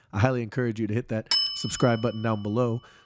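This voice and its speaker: Very fast and with fairly even intonation, a man speaks in a dry, close sound with no echo, over noticeable background noise. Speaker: stock market analyst youtuber. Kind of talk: market analysis commentary. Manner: casual, conversational.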